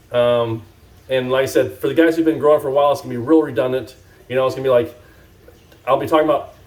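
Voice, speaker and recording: Amid noticeable background noise, a man with a fairly high pitch and ordinary pitch variation talks at a very fast pace. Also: long, frequent pauses. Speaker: cannabis grow YouTuber. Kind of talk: casual vlog talk to camera. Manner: rambling, many fillers.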